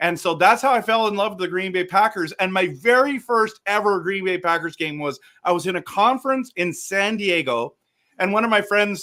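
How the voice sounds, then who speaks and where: A man in a raised, projected voice sounds animated, with a bright, sharp tone, high pitch, lively intonation and a moderate pace. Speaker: reverend and podcast host. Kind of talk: casual chat. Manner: loud.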